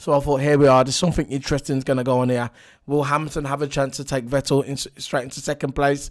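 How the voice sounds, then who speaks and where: A man's monotone voice with flat intonation. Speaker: F1 race reviewer. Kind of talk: casual talk to camera.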